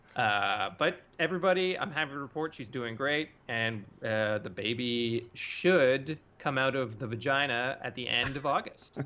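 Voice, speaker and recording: A man's bright, sharp voice at medium pitch, with ordinary pitch variation and a moderate pace. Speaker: podcast co-host. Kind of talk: casual chat. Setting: Skype call. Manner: loud.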